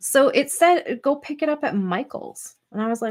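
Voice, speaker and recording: A high-pitched woman speaks at a fairly slow pace, her pitch swinging very widely. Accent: Canadian. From Canadian prairies. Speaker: scrapbooking YouTuber. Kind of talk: casual live stream chat. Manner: chatty, filler-heavy.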